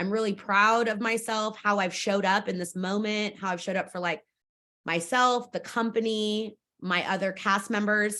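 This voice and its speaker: A woman with an American accent speaks loudly in a bright, sharp tone at medium pitch. Her intonation is fairly even, over a quiet background. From Fresno, California. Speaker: stage actor and theater staff member. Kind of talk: interview. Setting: video call.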